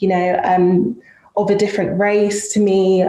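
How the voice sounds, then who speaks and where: Audible room echo and noticeable background noise surround a woman speaking. Her pitch is medium and her pace fairly slow. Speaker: panel moderator in tech. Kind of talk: panel discussion.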